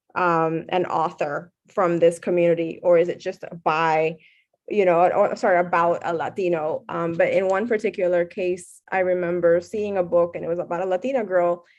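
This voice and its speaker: A woman's fairly low voice with a Miami accent, fairly even intonation and a moderate pace, set in a quiet background. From Puerto Rican, raised in South Florida. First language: Spanish. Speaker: professor. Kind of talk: Q&A after keynote lecture. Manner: frequent fillers and hesitations.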